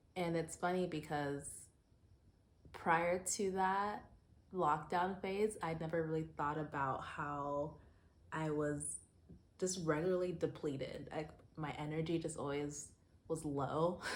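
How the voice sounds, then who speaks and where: In a room with audible echo, a woman with a very deep, low pitch talks at a fairly slow pace, with fairly even intonation and long, frequent pauses. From US Southwest (Phoenix, Arizona), born in Zimbabwe. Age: 30s. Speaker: lifestyle vlogger. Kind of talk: personal vlog monologue. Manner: casual, conversational with fillers.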